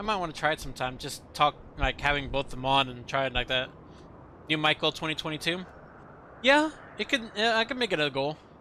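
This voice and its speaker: Loud and fairly high-pitched, a man speaks at a fairly quick pace with a bright, sharp tone and lively intonation, broken by long, frequent pauses. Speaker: gaming streamer. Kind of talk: live stream chat.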